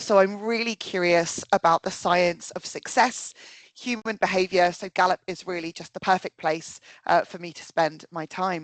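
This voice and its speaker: A woman with a British accent at a moderate pace, her medium pitch showing ordinary variation, in a dry, close sound with no echo. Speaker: workplace consultant, psychologist. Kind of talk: webinar presentation. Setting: video call webinar.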